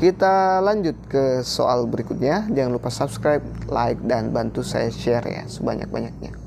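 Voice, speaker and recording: The man talks at a moderate pace. He leaves hardly any pauses. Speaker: teacher-training exam tutor. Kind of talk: tutorial.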